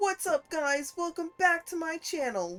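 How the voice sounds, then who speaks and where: A woman speaks in a put-on character voice, pitched extremely high. Her pace is moderate. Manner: hyped, upbeat.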